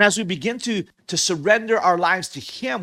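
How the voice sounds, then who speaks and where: A man speaks in a raised, projected voice. He moves at a fairly quick pace with ordinary pitch variation. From Hawaii. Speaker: pastor. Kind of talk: sermon.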